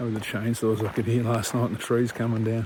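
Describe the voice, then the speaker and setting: Over noticeable background noise, a man with an Australian accent speaks at medium pitch. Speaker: hiking vlogger. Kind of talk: vlog narration. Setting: outdoors.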